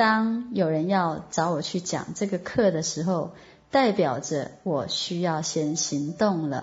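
A somewhat breathy woman with lively intonation at a very slow pace. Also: fairly low pitch for a woman. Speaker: online course teacher. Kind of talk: online lecture. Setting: online voice class.

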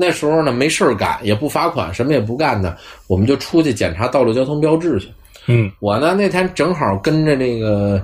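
The voice carries a Beijing accent and very wide pitch swings. It moves at a fairly quick pace. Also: man, medium pitch for a man. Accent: Beijing Mandarin. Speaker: podcast host, traffic enforcement officer. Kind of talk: casual chat.

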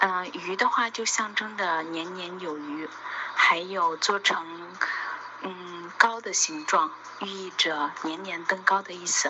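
Amid noticeable background noise, a woman speaks very slowly at medium pitch with ordinary pitch variation and big swings in loudness. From Shanxi, Linfen. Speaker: radio program contributor. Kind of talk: prepared personal monologue.

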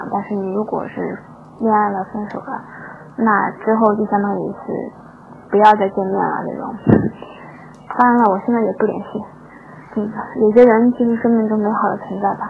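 Over noticeable background noise, a woman speaks in a fairly high voice with monotone, flat intonation and long, frequent pauses. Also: moderate pace. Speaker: listener sending a voice message. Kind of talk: personal reflection in a voice message. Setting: recorded voice message. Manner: halting.

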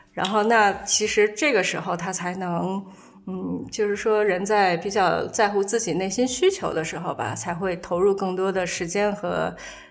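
Audible room echo surrounds a woman speaking at a moderate pace and medium pitch with fairly even intonation. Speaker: author and former fashion magazine editor. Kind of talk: casual chat. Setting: at the host's home.

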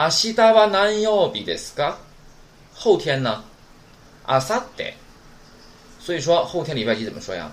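Audible room echo surrounds a man speaking at a high pitch with very wide pitch swings. His pace is moderate, with long, frequent pauses. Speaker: Japanese language teacher. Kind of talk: lecture. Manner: casual, filler-heavy.

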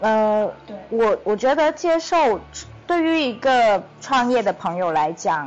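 Very slowly, a woman speaks with a fairly high pitch, very wide pitch swings, and very even loudness. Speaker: podcast co-host, startup founder. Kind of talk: casual chat.

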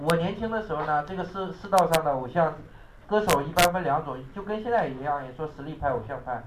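Over noticeable background noise and audible room echo, a man speaks very fast at a fairly high pitch with ordinary pitch variation. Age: 30s. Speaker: English exam teacher. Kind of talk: classroom lecture. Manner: animated.

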